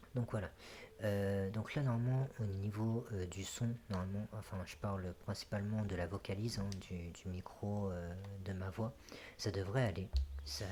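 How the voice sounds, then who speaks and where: A soft-spoken, somewhat breathy man at a fairly low pitch, with a dark, mellow tone, fairly even intonation and a fairly slow pace. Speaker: gaming youtuber. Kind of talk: let's play commentary. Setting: home recording, late at night. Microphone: echoey apartment, bumped the mic.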